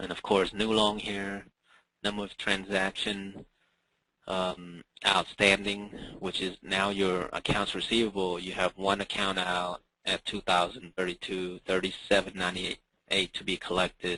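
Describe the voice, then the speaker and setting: Here a man speaks with a very deep, low pitch and a bright, sharp tone, in flat, monotone intonation. He goes at a fairly slow pace, and the sound is dry and close with no echo. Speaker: software trainer. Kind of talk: software training tutorial.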